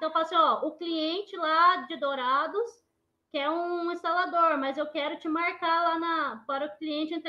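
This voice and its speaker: A woman speaks at an extremely high pitch. Her pitch variation is ordinary. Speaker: air-conditioning technician, microentrepreneur; panelist. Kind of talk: webinar panel talk. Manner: soft-spoken. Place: home room. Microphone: very quiet audio; video call.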